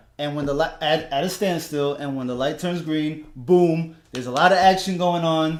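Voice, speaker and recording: Fairly high male pitch, ordinary pitch variation, a moderate pace and audible room echo. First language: Spanish. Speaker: sports podcast host. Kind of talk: casual chat.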